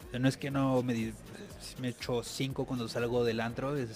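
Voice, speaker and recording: This man speaks at a moderate pace and medium pitch, with fairly even intonation. It is a plain, everyday voice. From Tijuana, Mexico. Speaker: TV and radio producer. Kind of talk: casual chat. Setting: radio studio.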